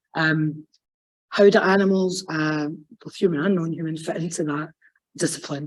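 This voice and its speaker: A woman with a Scottish accent speaks at a moderate pace with fairly even intonation, her loudness swinging widely and her speech broken by long, frequent pauses. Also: fairly low pitch for a woman. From Scotland, West Lothian. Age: adult, PhD student. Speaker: academic sociologist. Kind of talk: conference talk. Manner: casual, off-the-cuff.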